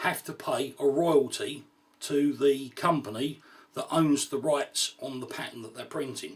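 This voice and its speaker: Amid noticeable background noise, a man with a British accent speaks at a moderate pace and a fairly high pitch. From UK. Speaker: gear reviewer. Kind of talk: product review. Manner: casual, frequent fillers like right and um.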